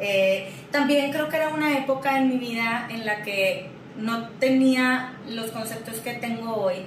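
Speech proceeds at a fairly slow pace. Audible room echo and noticeable background noise are present. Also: woman. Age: 30s. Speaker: therapist and business owner. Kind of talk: interview conversation. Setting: office.

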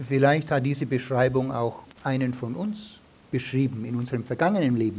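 A somewhat breathy voice at a fairly quick pace, with ordinary pitch variation and audible room echo. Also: man, medium pitch for a man. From Germany, Franconia. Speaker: visiting preacher. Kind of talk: sermon. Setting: church.

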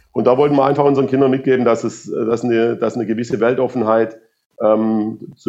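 In a dark, mellow tone, the speaker moves at a fairly quick pace with monotone, flat intonation. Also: man. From Swabia, southern Germany. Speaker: football coach. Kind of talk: interview.

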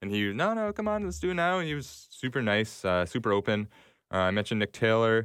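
With a Canadian accent and an ordinary speaking voice, a man talks fairly quickly with ordinary pitch variation on a very clean recording with a silent background. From Canada (Toronto). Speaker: golf podcast host. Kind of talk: casual solo podcast monologue.

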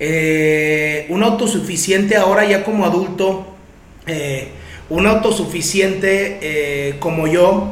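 Amid noticeable background noise and audible room echo, a man with a high pitch and ordinary pitch variation talks at a very slow pace. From Mexico, Guadalajara. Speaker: recovery group sponsor sharing testimony. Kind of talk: testimony.

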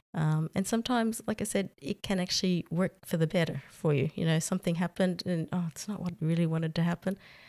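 A woman with an Australian accent speaks at a very fast pace with hardly any pauses in a dark, mellow tone, on a very clean recording with a silent background and a dry, close sound with no echo. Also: fairly low pitch for a woman, ordinary pitch variation. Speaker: expat office worker. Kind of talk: casual interview.

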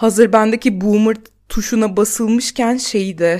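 A woman with a fairly high voice talks on a very clean recording with a silent background. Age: 30s. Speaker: podcast host and stand-up comedian. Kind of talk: solo monologue podcast.

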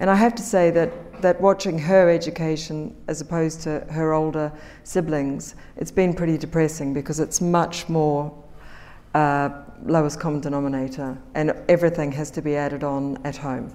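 A woman with a very deep, low voice, dark and mellow in tone, with a New Zealand accent, at a moderate pace. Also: ordinary pitch variation. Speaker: magazine editor. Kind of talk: panel talk.

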